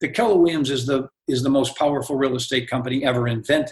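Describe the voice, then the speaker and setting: Somewhat breathy, a man with a medium pitch speaks at a fairly quick pace. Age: 70s. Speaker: real estate executive and author. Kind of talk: podcast interview.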